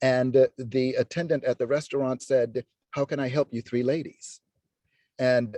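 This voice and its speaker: With a dark, mellow tone, a man talks in a monotone, flat intonation, his sound dry and close with no echo. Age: 60s. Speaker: dance professor. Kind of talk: personal testimony. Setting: video call. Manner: halting, many fillers.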